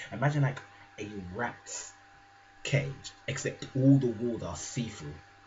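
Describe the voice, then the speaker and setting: Against noticeable background noise and audible room echo, a man with a medium-pitched voice speaks fairly slowly in an animated tone with lively intonation, leaving long, frequent pauses. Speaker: gaming vlogger. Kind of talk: casual chat. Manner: soft-spoken.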